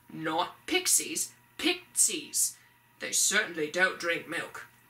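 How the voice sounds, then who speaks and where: A woman puts on a character voice. She speaks very slowly at a fairly low pitch. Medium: read story. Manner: dry, sardonic.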